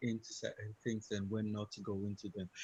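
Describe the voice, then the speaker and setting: Over a quiet background, a man's medium-pitched voice comes through somewhat breathy. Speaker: crypto trading trainer. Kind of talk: online training session.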